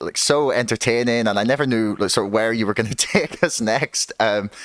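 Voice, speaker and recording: A man with a Northern Irish accent speaks at a fairly quick pace with a medium pitch. His pitch varies in an ordinary way, with a dry, close sound and no echo. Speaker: podcast host. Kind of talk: casual interview. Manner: halting, many fillers.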